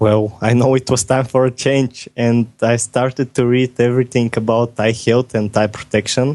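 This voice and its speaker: Speaking with a non-native accent at a medium pitch, a man keeps a moderate pace with hardly any pauses, a monotone, flat intonation and very even loudness against a quiet background. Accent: foreign accent, noticeable. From Bulgaria. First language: Bulgarian. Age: 20s. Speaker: software developer. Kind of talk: podcast interview. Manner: halting.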